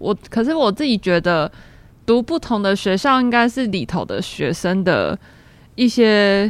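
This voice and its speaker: In a plain, everyday voice, a woman speaks at a medium pitch and a fairly slow pace with lively intonation, on a very clean recording with a silent background. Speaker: university major selection advisor. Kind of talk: casual chat.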